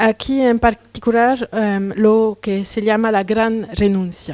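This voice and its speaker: This woman speaks with a non-native accent at a fairly high pitch, and the sound is dry and close with no echo. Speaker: curator and researcher. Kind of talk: lecture read from a text. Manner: halting, with hesitations.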